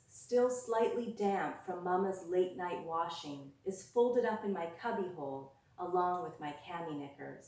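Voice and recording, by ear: Read aloud in a natural voice, the lines move with lively intonation.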